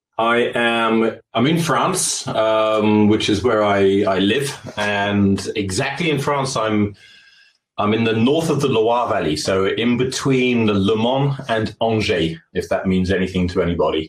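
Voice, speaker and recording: A man speaks at a very slow pace in a medium pitch, keeping very even loudness and ordinary pitch variation. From Britain. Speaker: audio company representative. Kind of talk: webinar presentation.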